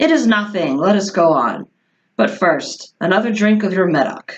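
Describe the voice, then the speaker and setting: A raspy, female-sounding voice is put on as a character voice. It sits at a middle pitch and moves at a moderate pace. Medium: read story.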